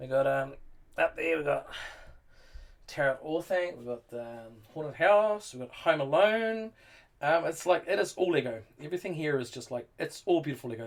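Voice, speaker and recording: A man with a New Zealand accent speaks at a fairly high pitch with lively intonation. His loudness swings widely, and he leaves long, frequent pauses. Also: moderate pace. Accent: New Zealand, sometimes taken as English. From New Zealand, North Island. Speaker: Lego builder streamer. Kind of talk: casual live-stream chat. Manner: hesitant, many fillers and repeats.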